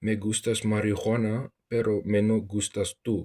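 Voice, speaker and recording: A man speaks at a fairly slow pace with a fairly low pitch, in a dry, close sound with no echo and a very clean recording over a silent background. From South Africa. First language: Afrikaans. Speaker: vlogger. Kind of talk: monologue to camera.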